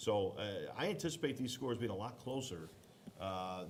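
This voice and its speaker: A man speaks with an American accent and lively intonation. Audible room echo surrounds his voice. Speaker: youth football regional director. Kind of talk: bracket reveal show commentary. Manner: loud.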